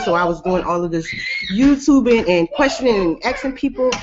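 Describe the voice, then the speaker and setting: A woman speaks in an American accent at a fairly high pitch. Her pace is fairly quick over noticeable background noise. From US South. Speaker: network marketing team member. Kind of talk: testimony.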